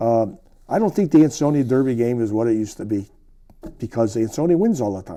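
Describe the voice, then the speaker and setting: Delivered at a very fast pace, the voice has a dark, mellow tone and lively intonation. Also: man, medium pitch for a man. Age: 70s. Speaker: retired sportswriter. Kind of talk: interview. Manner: halting, with frequent repetitions.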